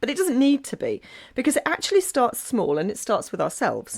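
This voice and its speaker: A woman speaks on a very clean recording with a silent background. The sound is dry and close, with no echo. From England. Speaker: podcaster and blogger on Nordic living. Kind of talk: podcast guest talk.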